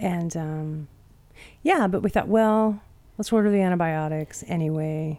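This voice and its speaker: A dark, mellow voice moves at a fairly slow pace in a very clean recording with a silent background. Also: woman, fairly low pitch for a woman, ordinary pitch variation. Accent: Pacific Northwest. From Spokane, Washington, US. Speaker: podcast co-host, backyard chicken keeper. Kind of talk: casual chat.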